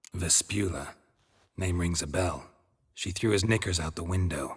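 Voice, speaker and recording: A man speaks in a put-on character voice with a very deep, low pitch at a moderate pace. The recording is very clean, with a silent background. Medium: video game. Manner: terse, deadpan, dryly ironic.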